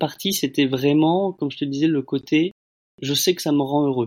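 In a dry, close sound with no echo, a man speaks with fairly even intonation. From France, Bordeaux. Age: 30s. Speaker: solo traveller. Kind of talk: testimony. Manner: halting, repeats words.

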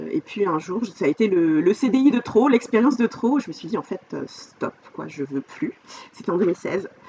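A woman speaks at a fairly slow pace with a fairly high pitch and very wide pitch swings. Noticeable background noise runs behind her. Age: 40s. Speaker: life coach. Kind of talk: casual interview chat. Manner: hesitant, many fillers.

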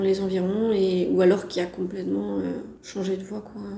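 Against noticeable background noise and audible room echo, a woman talks at a moderate pace. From France, Brittany. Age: 30s. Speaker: French language teacher, expatriate. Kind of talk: casual interview testimony. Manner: hesitant, with fillers.

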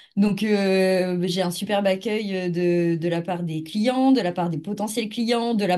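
Noticeable background noise accompanies a woman speaking. Her pitch shows ordinary variation. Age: 20s. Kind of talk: interview.

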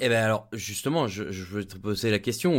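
On a very clean recording with a silent background, a man with a fairly low pitch and an unremarkable speaking voice talks at a moderate pace. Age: 30s. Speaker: podcast host. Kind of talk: podcast interview.

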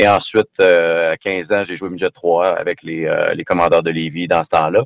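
A man with a Quebec accent, in dry, close sound with no echo. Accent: Québécois French. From Quebec, Rimouski. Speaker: former pro hockey player. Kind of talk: interview. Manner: halting, repeats words.

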